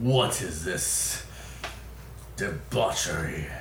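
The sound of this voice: A man puts on a booming character voice against loud background noise and a slight echo.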